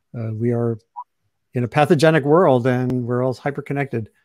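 Over a quiet background, a man speaks at a moderate pace with ordinary pitch variation, the sound dry with no echo. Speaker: webcast host, journalist. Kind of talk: host introduction. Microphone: video call.

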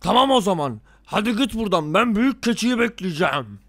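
In a cartoonish character voice pitched high, a man speaks at a moderate pace on a very clean recording with a silent background. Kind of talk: cartoon villain acting. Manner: gruff, threatening.

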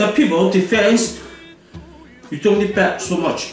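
A man with a high voice speaks very slowly over clear background music, with audible echo in the room. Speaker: kung fu teacher. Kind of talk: martial arts instruction. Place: home room. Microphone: camera far.

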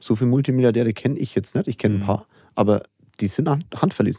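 The voice has a dark, mellow tone and rushes along at a very fast pace. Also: man, very clean recording, silent background. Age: 40s. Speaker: entrepreneur and investor. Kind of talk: interview.

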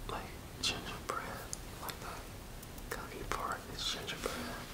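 A man at a very slow pace amid loud background noise. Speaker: ASMR creator. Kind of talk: ASMR food taste test. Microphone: headset.

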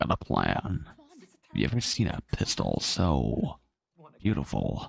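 A man uses a put-on character voice with a very deep, low pitch and very wide pitch swings. He speaks at a fairly slow pace. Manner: put-on character voice, scheming.

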